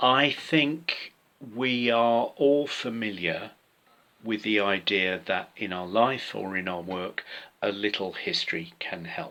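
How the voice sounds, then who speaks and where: Spoken very slowly in a British accent, the voice shows ordinary pitch variation. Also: man, fairly low pitch for a man. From UK. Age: 60s. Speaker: author and theatre director. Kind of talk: pre-recorded personal talk. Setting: home workspace.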